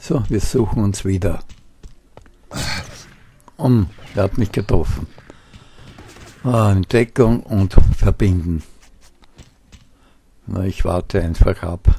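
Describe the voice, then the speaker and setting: At a very slow pace and a fairly low pitch, a man speaks with ordinary pitch variation and long, frequent pauses. Noticeable background noise runs underneath. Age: 70s. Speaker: gamer. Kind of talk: gameplay commentary.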